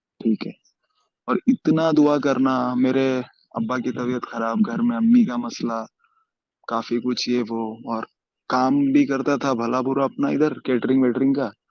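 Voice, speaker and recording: In a plain, everyday voice, a man speaks at a medium pitch with fairly even intonation, the sound dry and close with no echo. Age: 20s. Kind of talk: testimony.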